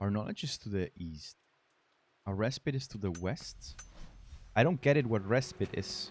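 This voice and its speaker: Fairly low, somewhat breathy male voice with lively intonation, a moderate pace and long, frequent pauses. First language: not English. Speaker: video game streamer. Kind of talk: let's play commentary. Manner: halting.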